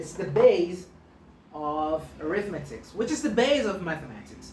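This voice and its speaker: A woman in a Portuguese accent speaks at a moderate pace with very wide pitch swings and big swings in loudness, amid audible room echo and noticeable background noise. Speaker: maths teacher. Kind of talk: tutorial. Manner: halting, frequent self-corrections.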